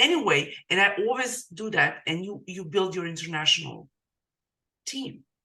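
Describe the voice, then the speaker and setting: A bright, sharp tone with a non-native accent at a moderate pace. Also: woman. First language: not English. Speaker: digital marketing coach, podcast host. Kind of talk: casual interview chat. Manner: halting.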